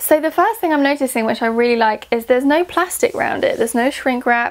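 Hardly pausing, a woman speaks in a high pitch with lively intonation. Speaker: oracle card vlogger. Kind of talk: casual unboxing vlog chat. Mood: excited, warm. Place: home room. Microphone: lapel.

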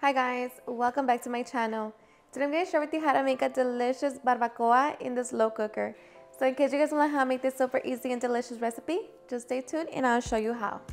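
With faint music in the background, a woman speaks very fast at a high pitch, her intonation fairly even. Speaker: home cooking channel host. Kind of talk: tutorial. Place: kitchen. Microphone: lapel.

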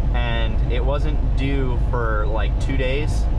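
A man is speaking. Loud background noise runs through the clip. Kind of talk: casual vlog chat. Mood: mildly frustrated, relaxed. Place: car.

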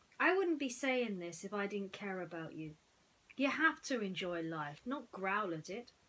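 Here is a natural reading voice. Its intonation is lively.

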